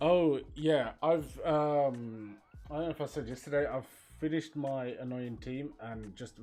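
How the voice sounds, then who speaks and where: Over faint background music, a man with a Birmingham accent speaks at a fairly slow pace in a dark, mellow tone, his loudness swinging widely. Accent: Birmingham (Brummie) English. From England, Birmingham; England. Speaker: streamer and graphic designer; streamer. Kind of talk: casual live stream chat. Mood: relaxed, amused. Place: home room.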